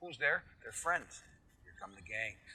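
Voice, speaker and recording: This man talks at a moderate pace with an American accent. His tone is bright and sharp. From US. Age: 60s. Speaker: financial educator. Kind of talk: podcast interview. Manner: animated.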